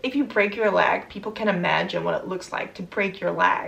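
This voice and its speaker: A woman speaks in a Dutch accent. Her pitch is fairly high, with ordinary variation. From Netherlands. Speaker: vlogger. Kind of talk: casual vlog Q&A.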